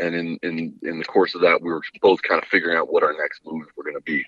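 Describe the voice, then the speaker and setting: The sound is dry and close, without any echo. A man delivers his words at a very fast pace. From Hawaii. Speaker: outdoor media director and former guide. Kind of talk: interview answers. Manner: long-winded.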